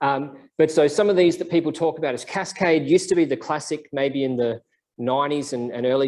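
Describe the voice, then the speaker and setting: A man in an Australian accent speaks at a fairly quick pace and a fairly high pitch, with ordinary pitch variation. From South Australia. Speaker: scientist giving a seminar. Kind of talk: lecture. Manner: casual, with many fillers. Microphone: microphone issue.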